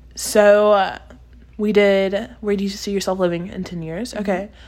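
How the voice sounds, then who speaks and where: Using a normal speaking voice, a woman of medium pitch speaks at a moderate pace with fairly even intonation and big swings in loudness. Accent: American. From Texas. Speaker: podcast host. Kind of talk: casual chat.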